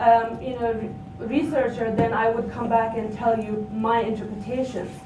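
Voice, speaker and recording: With audible room echo and noticeable background noise, a woman talks in a fairly high pitch. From Nepal. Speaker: academic researcher. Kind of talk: conference panel presentation. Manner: halting, many fillers.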